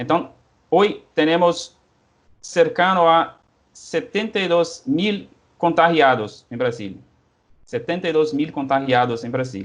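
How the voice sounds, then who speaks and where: Speaking at a very slow pace with long, frequent pauses, a man with a Portuguese accent uses a fairly high pitch and very wide pitch swings. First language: Portuguese (speaking Spanish). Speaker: historian, researcher. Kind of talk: interview. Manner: halting.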